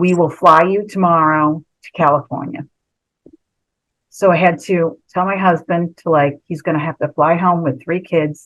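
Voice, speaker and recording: A woman's unremarkable speaking voice, fairly low in pitch, at a moderate pace with fairly even intonation and big swings in loudness. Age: 60s. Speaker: former reality show contestant. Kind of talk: storytelling on a video call. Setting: video call. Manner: casual, chatty.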